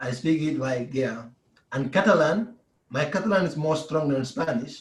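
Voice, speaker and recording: A man in a West African accent speaks at a fairly slow pace and a fairly high pitch with lively intonation. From Gambia. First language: Mandinka. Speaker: pro basketball player. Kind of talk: interview.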